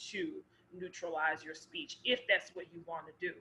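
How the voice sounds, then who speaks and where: Medium-pitched female voice with an American accent. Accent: Southern, somewhat decreased. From US South, Memphis, Tennessee. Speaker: actor. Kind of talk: casual chat.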